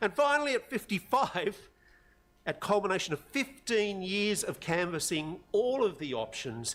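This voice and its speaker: With an Australian accent, a man talks with very wide pitch swings. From Australia, Sydney North Shore. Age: 60s. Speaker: community member addressing council. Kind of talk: public forum speech. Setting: council chamber public forum.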